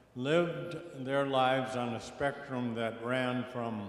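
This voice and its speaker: Amid noticeable background noise and audible room echo, a man speaks slowly-ish at a fairly slow pace, with a medium pitch and fairly even intonation. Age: 80s+. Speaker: panelist speaker on faith and ecology. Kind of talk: panel discussion.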